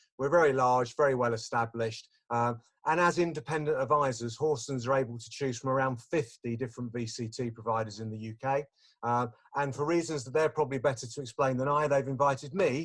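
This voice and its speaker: In an Essex accent, a man talks at a very fast pace and a medium pitch. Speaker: investment business development manager. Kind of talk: webinar presentation. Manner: chatty, animated.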